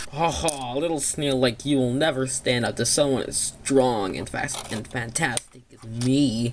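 Delivered at a moderate pace, the cartoonish character voice runs on with hardly any pauses. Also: man, medium pitch for a man. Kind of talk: cartoon villain with evil laugh. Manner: boastful, menacing, gloating.

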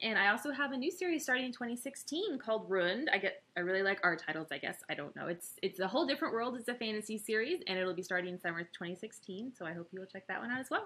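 A woman talks at a very fast pace in an American accent, with hardly any pauses. Her pitch swings very widely. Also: fairly high pitch for a woman. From Texas, Austin. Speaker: novelist. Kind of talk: promotional talk to camera. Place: home room. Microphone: webcam.

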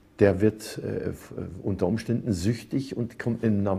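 A man speaks at a fairly slow pace with a fairly low pitch. His tone is dark and mellow, and his pitch varies in an ordinary way. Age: 70s. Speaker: composer, singer, entertainer. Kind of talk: interview answer. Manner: thoughtful, humorous. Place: cafe. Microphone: lapel.

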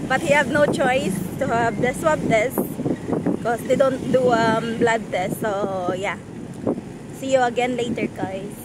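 Amid loud background noise, a woman talks at a fairly slow pace with long, frequent pauses. Her pitch variation is ordinary, and the sound is dry with no echo. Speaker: vlogger. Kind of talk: casual vlog chat. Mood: cheerful, laughing. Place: car. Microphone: phone near.

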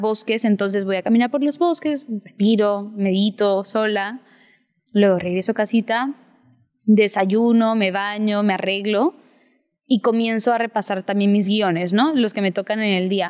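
A plain, everyday voice from a woman, fairly high in pitch, at a fairly slow pace. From Peru, with childhood in Spain and Sweden. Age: young. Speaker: actress. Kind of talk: interview.

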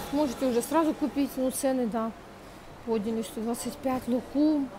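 Over noticeable background noise, a woman speaks at a fairly slow pace in a high voice with ordinary pitch variation. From Ukraine. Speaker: vlogger. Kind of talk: vlog. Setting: outdoors, walking in street. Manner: chatty, animated. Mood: animated, humorous.

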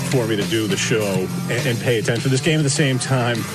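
A man talks at a fairly quick pace over loud music in the background. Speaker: radio show host. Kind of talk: radio show monologue. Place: studio.

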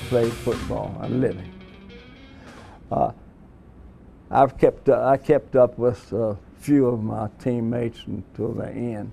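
A man with ordinary pitch variation and long, frequent pauses, music in the background. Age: 80s+. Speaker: former college football player. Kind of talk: interview answer.

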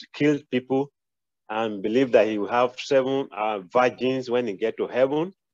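Over a quiet background with a dry sound and no echo, a man in an ordinary speaking voice talks at medium pitch and moderate pace with fairly even intonation. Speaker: student, radiographer; radiographer. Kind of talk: class discussion. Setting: video call with camera off, at work. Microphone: video call.

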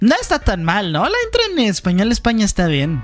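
Faint music can be heard behind the voice. The delivery keeps a moderate pace. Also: man. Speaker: reaction youtuber. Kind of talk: casual reaction commentary. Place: home room. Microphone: studio mic.

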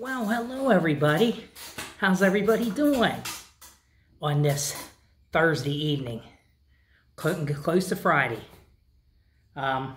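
Over light background noise, a man talks at a high pitch. His pitch swings very widely, and he takes long, frequent pauses. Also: fairly slow pace. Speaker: vlogger. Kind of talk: casual vlog chat. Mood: exasperated, comically annoyed. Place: garage. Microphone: phone near.

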